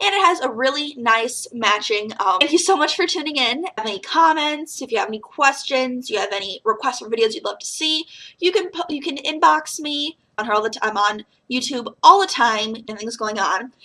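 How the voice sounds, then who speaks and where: A woman speaks in a raised, projected voice with a high pitch and a bright, sharp tone, her pitch swinging very widely and her loudness in big swings. Her tone is animated, and she moves at a fairly quick pace with hardly any pauses. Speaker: beauty vlogger. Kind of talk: product review haul video.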